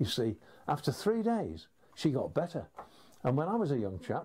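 With very wide pitch swings, a man speaks at a fairly quick pace in a somewhat breathy voice. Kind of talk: storytelling advice to camera. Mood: warm, humorous anecdote. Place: home room.

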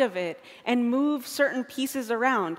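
Her voice as a woman sits at a high pitch. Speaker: conference speaker. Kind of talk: lecture. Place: stage.

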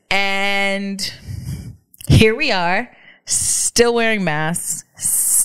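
A woman at a medium pitch, with long, frequent pauses and a quiet background. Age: 30s. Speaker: podcast co-host. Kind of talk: casual chat. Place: home room. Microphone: studio mic.

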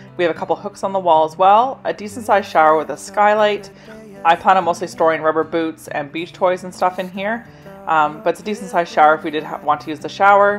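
A woman speaks very fast at a fairly low pitch with ordinary pitch variation and big swings in loudness. Faint music plays in the background. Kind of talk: casual tour narration. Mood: pleased, upbeat. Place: home room. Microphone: phone near.

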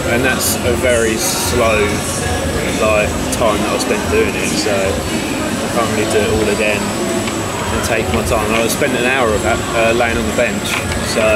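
A man talks at a fairly slow pace amid loud background noise. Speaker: travel vlogger. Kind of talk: casual vlog chat. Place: market. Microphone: phone near.

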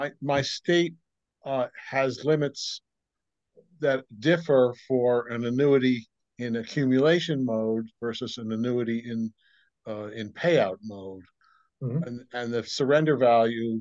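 At a fairly slow pace, an ordinary speaking voice comes through with a dry, close sound, no echo and a quiet background. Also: man, medium pitch for a man, ordinary pitch variation. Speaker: audience member asking question. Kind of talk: question in Q&A. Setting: video call.

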